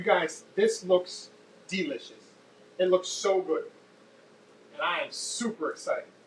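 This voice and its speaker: A man keeps a moderate pace while noticeable background noise fills the recording. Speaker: cooking show host. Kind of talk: live cooking tutorial. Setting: home kitchen, live stream.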